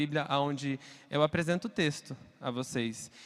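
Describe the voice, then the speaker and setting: On a very clean recording with a silent background, a man speaks at a fairly high pitch with fairly even intonation. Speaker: preacher and LGBT rights activist. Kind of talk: sermon. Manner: fast.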